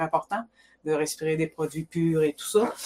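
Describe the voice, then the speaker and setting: A woman with a plain, everyday voice, fairly even intonation and a moderate pace. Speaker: tourism business owner. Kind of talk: interview.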